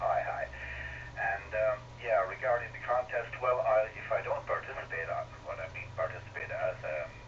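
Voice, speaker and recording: With a Northern Irish accent, a man speaks at a moderate pace over noticeable background noise. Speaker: amateur radio operator. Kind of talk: casual chat. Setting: radio net over repeater. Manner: halting.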